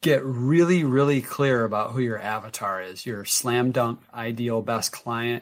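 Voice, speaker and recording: The recording is very clean, with a silent background. A man speaks very slowly at a medium pitch with fairly even intonation. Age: 50s. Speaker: health coach and entrepreneur. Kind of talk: interview.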